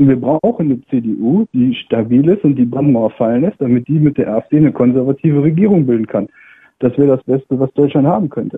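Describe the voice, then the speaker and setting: A man's normal speaking voice, fairly high in pitch and fairly quick, with ordinary pitch variation. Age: 20s. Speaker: caller. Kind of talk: call-in radio discussion.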